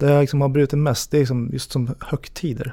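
The voice has a dark, mellow tone. It is somewhat breathy. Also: man. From Sweden, Järna (Stockholm region). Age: 30s. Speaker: single on a dating podcast, assistant unit manager. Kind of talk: casual interview.

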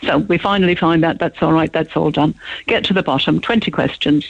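In an Irish accent, the speaker talks at a fairly quick pace with ordinary pitch variation. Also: woman. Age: old. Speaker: radio caller. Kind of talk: radio phone-in.

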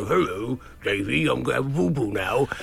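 A man puts on a character voice at a medium pitch and a fairly quick pace. Clear background noise runs behind him. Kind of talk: baby talk, playful. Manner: cute, sweetly announcing.

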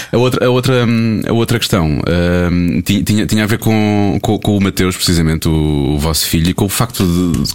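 Noticeable background noise sits under a man's fairly low voice. He speaks at a moderate pace with ordinary pitch variation. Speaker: radio podcast host. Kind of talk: quiz game; casual chat.

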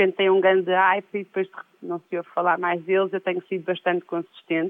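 The delivery comes at a moderate speed. It is a plain, everyday voice. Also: woman. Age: 40s. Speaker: DJ. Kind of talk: interview, casual chat.

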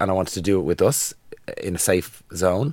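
A man talks with lively intonation, heard in a very clean recording with a silent background. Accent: Dublin. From Ireland, Dublin. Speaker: podcast co-host. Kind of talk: casual chat.

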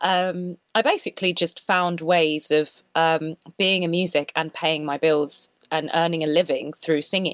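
A woman's fairly low voice with a South London accent, monotone and flat, at a fairly slow pace with hardly any pauses, in a dry, close recording with no echo. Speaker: singer. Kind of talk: interview. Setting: remote call.

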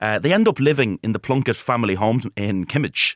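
A man with a Dublin accent at a medium pitch and a fairly quick pace, with ordinary pitch variation, on a very clean recording with a silent background and a dry, close sound with no echo. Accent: Dublin Irish. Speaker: historian. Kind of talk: radio interview. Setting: studio.

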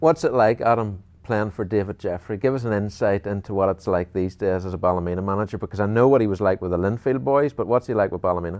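A man with a fairly low pitch and a slightly mellow tone speaks at a fast pace with ordinary pitch variation.

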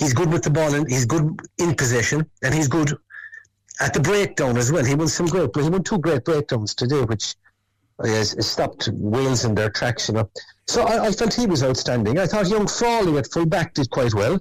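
At a moderate pace, a man with a Cork accent speaks with a fairly high pitch, very wide pitch swings, very even loudness and a somewhat breathy quality. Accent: Cork Irish. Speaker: former rugby player. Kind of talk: interview chat.

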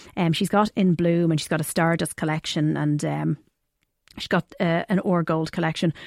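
A woman's fairly low voice with an Irish accent, fairly quick and fairly even in intonation, dry and close with no echo, on a very clean recording over a silent background. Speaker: wedding podcast host. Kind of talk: casual interview.

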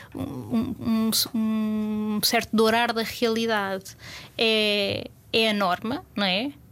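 Speech at a very slow pace with fairly even intonation comes through on a very clean recording with a silent background. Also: woman, fairly high pitch for a woman. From Portugal, Lisbon outskirts. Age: 30s. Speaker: food and culture journalist. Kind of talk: casual interview chat.

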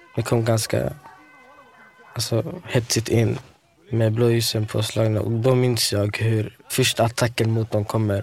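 A man's medium-pitched voice at a fairly slow pace, with very even loudness, fairly even intonation and music in the background. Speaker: local resident witness. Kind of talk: interview testimony.

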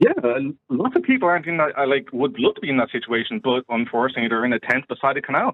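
Speaking very fast, a man talks with an Irish accent. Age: 30s. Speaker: caller. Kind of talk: phone-in discussion. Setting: phone call.

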